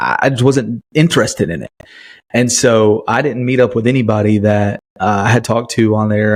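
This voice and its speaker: A man with a Southern US accent and ordinary pitch variation, on a very clean recording with a silent background. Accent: Southern US, fairly country. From US South, Chattanooga area, Tennessee. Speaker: podcast host. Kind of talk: casual personal storytelling. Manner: halting, many fillers.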